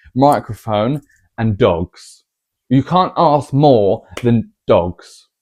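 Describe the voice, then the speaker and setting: A man with an English accent speaks at a medium pitch and a very slow pace, with a quiet background and a dry, close sound with no echo. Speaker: vlogger. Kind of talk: casual chat. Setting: at home, to camera. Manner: quiet normal voice, trying to be louder.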